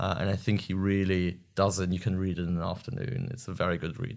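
A man with a German accent on a very clean recording with a silent background. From Germany, Bochum (Westphalia). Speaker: PhD researcher in politics. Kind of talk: interview. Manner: halting, frequent fillers.

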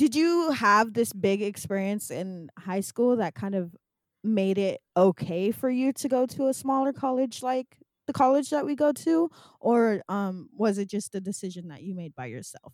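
With an American accent, a woman speaks at a moderate pace, her pitch swinging very widely and her loudness shifting in big swings. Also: dry, close sound with no echo. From California. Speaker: podcast host and filmmaker. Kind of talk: casual interview.

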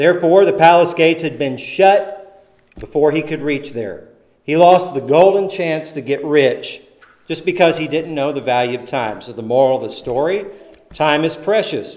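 There is audible room echo as a man speaks at a fairly high pitch and moderate pace, with ordinary pitch variation and big swings in loudness. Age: 40s. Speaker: preacher. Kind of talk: sermon. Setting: church.

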